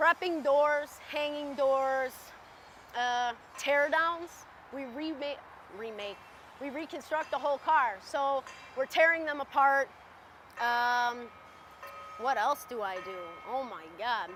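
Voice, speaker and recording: Loud and high-pitched, a woman speaks at a very slow pace with lively intonation. She leaves long, frequent pauses, with music in the background. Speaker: railcar repair worker. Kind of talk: interview testimony.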